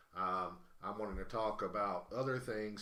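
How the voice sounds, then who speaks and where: A man with a Southern US accent speaks at a moderate pace and a medium pitch. Noticeable background noise and audible room echo fill the recording. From US South. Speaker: live-stream host and auctioneer. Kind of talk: casual live-stream chat. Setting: live stream from a game cafe. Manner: halting, many fillers and restarts.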